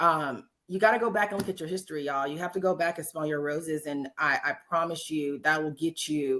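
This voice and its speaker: Speaking at a fairly quick pace with hardly any pauses, a woman with an American accent has a very deep, low pitch, a bright, sharp tone and ordinary pitch variation. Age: 40s. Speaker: podcast host. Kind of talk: casual chat. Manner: animated.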